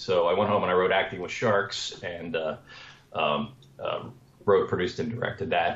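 Moderately paced male speech with an American accent, audible room echo around it. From Washington, D.C. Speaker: screenwriter and comedian; guest. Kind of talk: interview. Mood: relaxed, friendly storytelling. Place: home room. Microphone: video call.

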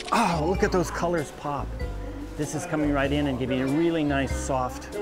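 Clear music in the background behind a man at a moderate pace. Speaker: show host. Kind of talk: tutorial. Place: shop. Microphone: phone near.

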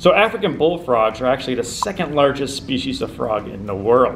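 A man's speech has ordinary pitch variation and a moderate pace, with light background noise behind it. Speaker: presenter. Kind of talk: educational talk to camera. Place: meeting room.

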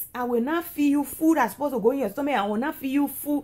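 A woman is speaking. Her intonation is lively. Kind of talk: casual vlog chat. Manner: drowsy, lazy in-bed speech. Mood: playful scolding, demanding. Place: home room. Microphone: phone near.

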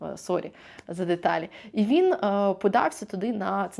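A silent background and a very clean recording let the vocal fry come through. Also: woman. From Ukraine. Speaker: vlogger. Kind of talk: vlog monologue to camera.

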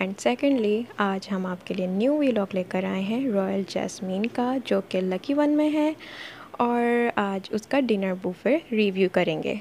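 Over light background noise, a woman speaks very slowly with lively intonation. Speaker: food vlogger. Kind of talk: restaurant review narration.

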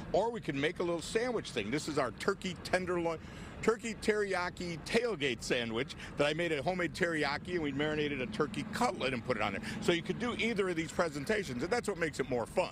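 A man at a very fast pace, with a dry sound with no echo and noticeable background noise. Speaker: guest. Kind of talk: interview answer. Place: street. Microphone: handheld.

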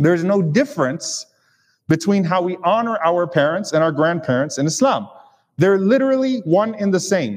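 A man speaks with lively intonation at a moderate pace. The background is quiet. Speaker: preacher. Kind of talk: sermon. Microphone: lapel.

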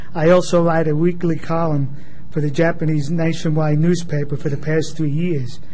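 Man with an American accent, fairly high pitch, monotone, flat intonation and a moderate pace over light background noise. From Texas. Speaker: YouTuber speaking at public comment. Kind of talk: prepared public comment statement. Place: meeting room. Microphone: podium.

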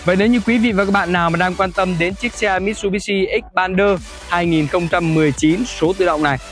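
A man's high voice with fairly even intonation and very even loudness, in a dry sound with no echo and faint music in the background. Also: moderate pace. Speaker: presenter. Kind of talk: sales presentation. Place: street.

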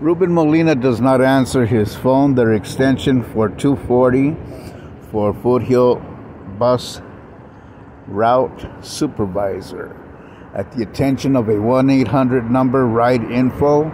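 Over light background noise, a man speaks very slowly with ordinary pitch variation in a dry sound with no echo. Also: very even loudness. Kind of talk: complaint monologue to camera. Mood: aggrieved, complaining. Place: street. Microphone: phone near.

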